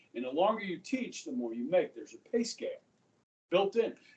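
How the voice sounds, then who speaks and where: A man's dark, mellow tone with an American accent and very wide pitch swings. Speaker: high school history teacher. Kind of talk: classroom lecture. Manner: casual, conversational.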